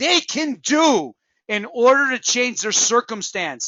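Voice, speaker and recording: Loud and passionate, a man with an extremely high pitch talks at a fairly slow pace in an animated tone with lively intonation. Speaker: network marketing trainer. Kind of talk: motivational training talk. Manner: passionate, animated.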